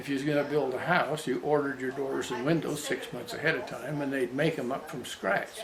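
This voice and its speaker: Moderate-paced speech with an American accent and ordinary pitch variation, amid audible room echo and noticeable background noise. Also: man. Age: 90s. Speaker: grandfather interviewee. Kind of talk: family interview reminiscing. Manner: halting, with restarts.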